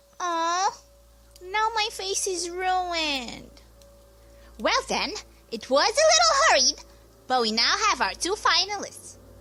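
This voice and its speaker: A woman uses a put-on character voice at an extremely high pitch with very wide pitch swings. She goes at a fairly slow pace with long, frequent pauses. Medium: audio drama. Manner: theatrical, mood swinging.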